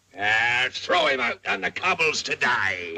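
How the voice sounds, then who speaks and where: A man puts on a character voice at medium pitch, speaking at a fairly slow pace. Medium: short film. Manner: rolling, theatrical, growling.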